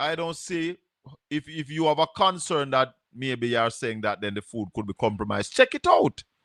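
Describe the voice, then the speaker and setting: A speaker with a Jamaican accent talks at a moderate pace with lively intonation in a dry, close sound with no echo. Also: man, medium pitch for a man. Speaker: call-in show host. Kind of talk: call-in talk show.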